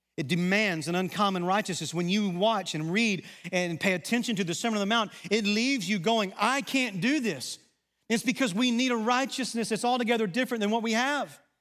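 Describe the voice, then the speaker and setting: A man with a Southern US accent and a high pitch speaks at a fairly quick pace, with ordinary pitch variation and very even loudness. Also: very clean recording, silent background. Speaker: pastor. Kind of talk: sermon. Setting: church.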